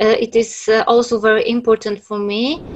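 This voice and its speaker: A woman speaks with a Polish accent. Her intonation stays fairly even. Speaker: writer. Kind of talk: panel discussion. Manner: halting.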